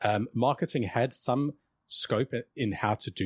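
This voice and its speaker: On a very clean recording with a silent background, a man speaks in a somewhat breathy voice with ordinary pitch variation, the sound dry and close with no echo. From South Africa. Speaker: sales outsourcing company CEO. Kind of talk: casual interview.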